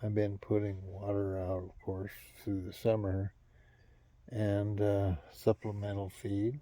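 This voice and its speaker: The recording is very clean, with a silent background. A man speaks very slowly in a somewhat breathy, dark, mellow voice at a fairly low pitch. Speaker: vlogger. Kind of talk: casual monologue. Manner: low tones.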